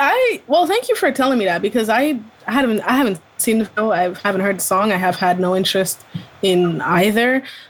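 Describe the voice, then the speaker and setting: With a Canadian accent and a normal speaking voice, a woman talks at a fairly quick pace, fairly high in pitch, with lively intonation and very even loudness. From Ontario, Canada. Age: 20s. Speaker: podcast co-host. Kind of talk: casual chat.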